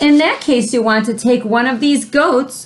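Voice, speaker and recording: Woman in a put-on character voice, high-pitched, at a moderate pace. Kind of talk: read-aloud for children. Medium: read story. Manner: gruff, indignant.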